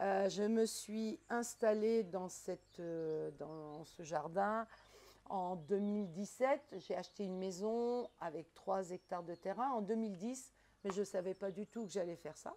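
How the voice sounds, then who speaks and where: A woman speaks at a very slow pace. Her voice is medium in pitch with a dark, mellow tone. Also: ordinary pitch variation. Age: 60s. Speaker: market gardener. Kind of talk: casual chat.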